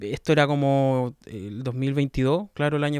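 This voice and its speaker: In a Chilean accent, a man speaks at a medium pitch with fairly even intonation. The recording is very clean, with a silent background. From southern Chile, Los Ríos region. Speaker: podcaster. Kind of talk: casual monologue. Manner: relaxed.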